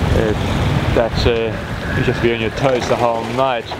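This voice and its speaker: The sound is dry, with no echo, but loud background noise is present. The speaker is a man. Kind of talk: casual vlog chat. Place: boat. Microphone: phone near.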